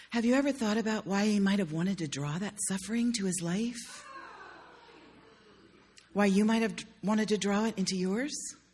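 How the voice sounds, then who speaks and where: Using a put-on character voice, a man speaks at a high pitch and sounds breathy. He keeps a moderate pace with long, frequent pauses. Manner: spiritual, earnest.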